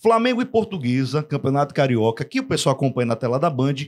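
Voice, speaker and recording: Animated in tone, a man with a fairly high pitch talks at a fairly quick pace with lively intonation. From Rio Grande do Norte, Brazil. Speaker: sports podcast host. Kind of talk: casual chat. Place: studio. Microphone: studio mic.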